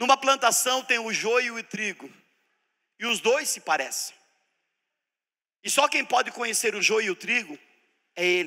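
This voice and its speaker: With lively intonation and a bright, sharp tone, a man uses an extremely high pitch and a raised, projected voice, moving at a fairly slow pace with long, frequent pauses. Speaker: preacher teaching a church seminar. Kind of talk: sermon-style teaching seminar. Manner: animated.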